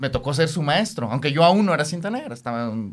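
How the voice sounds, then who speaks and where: A man at a fairly high pitch and a very fast pace. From Mexico City. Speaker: karate practitioner and business consultant. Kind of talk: interview.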